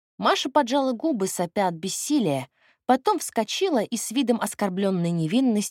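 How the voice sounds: Someone reads aloud naturally, intonation lively. All is quiet behind the voice.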